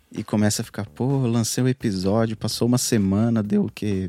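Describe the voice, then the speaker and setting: This man's dark, mellow voice moves at a moderate pace with fairly even intonation. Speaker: podcast editor. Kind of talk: casual chat. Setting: video call live stream.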